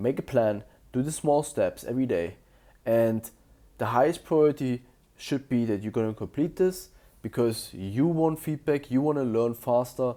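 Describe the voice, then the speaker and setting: With a German accent, a man speaks at a moderate pace and medium pitch, his tone dark and mellow and his pitch varying an ordinary amount, on a very clean recording with a silent background. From Germany. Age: 20s. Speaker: self-improvement youtuber. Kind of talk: motivational monologue to camera. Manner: casual, slightly halting.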